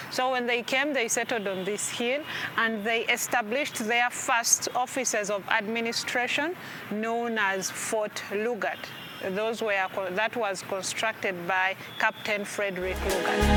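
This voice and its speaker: Speaking with a Ugandan accent, the voice keeps fairly even intonation at a fairly slow pace over noticeable background noise. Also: woman, fairly high pitch for a woman. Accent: Ugandan accent, own remark. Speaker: tour guide. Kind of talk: guided tour explanation.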